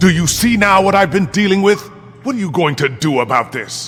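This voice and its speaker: This is a put-on character voice. It moves at a fairly quick pace. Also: man, high pitch for a man. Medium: machinima. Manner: haughty, menacing, sardonic.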